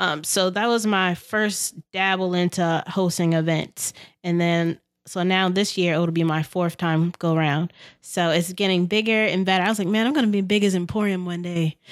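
A woman talks at a moderate pace with an American accent, in an unremarkable speaking voice. Her pitch is medium, her loudness very even, and the recording very clean with a silent background. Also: fairly even intonation. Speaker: chef and entrepreneur. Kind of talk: casual podcast interview.

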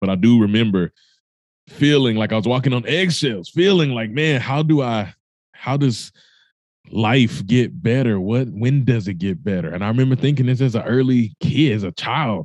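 A man's animated, medium-pitched voice with lively intonation at a moderate pace against a quiet background. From Mississippi. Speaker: inspirational speaker. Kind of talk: interview.

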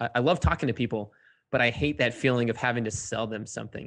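Using a plain, everyday voice, a man talks at a medium pitch, his intonation fairly even. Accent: American. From Cape Cod, Massachusetts. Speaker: fitness blogger and entrepreneur. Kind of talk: casual interview.

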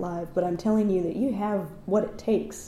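Speaking at a moderate pace with an American accent, a woman keeps her intonation fairly even against audible room echo. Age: 30s. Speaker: actor and writer. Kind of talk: casual interview conversation. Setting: at guest's home.

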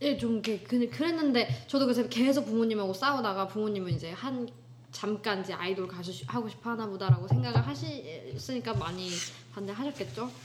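A woman at medium pitch with very wide pitch swings, speaking at a fairly quick pace over noticeable background noise. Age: 20s. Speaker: music student, singer. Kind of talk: casual chat. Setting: recorded at home.

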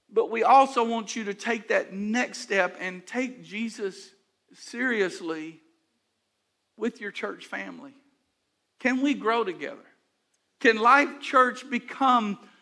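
With an American accent, a man uses a raised, projected voice of extremely high pitch and a bright, sharp tone, speaking at a very slow pace with ordinary pitch variation and long, frequent pauses. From Houston, Texas. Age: 60s. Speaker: pastor. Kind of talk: sermon.

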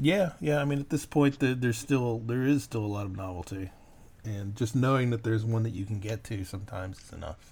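A somewhat breathy voice with an American accent in a very clean recording with a silent background. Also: man, medium pitch for a man, ordinary pitch variation, fairly quick pace. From Texas. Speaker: podcast host. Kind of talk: casual chat.

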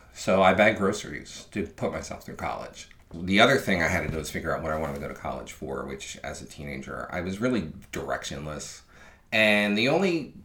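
Very fast and very deep, a man speaks with an American accent and vocal fry. Audible room echo fills the recording. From Philadelphia. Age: 50s. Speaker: former TV video editor, storyteller. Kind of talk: personal storytelling.

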